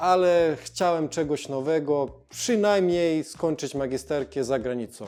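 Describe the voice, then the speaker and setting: With music in the background, a man with a fairly high pitch and ordinary pitch variation speaks at a very slow pace. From Montenegro. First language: Montenegrin (Serbo-Croatian) (speaking Polish). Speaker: YouTuber. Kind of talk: casual vlog narration.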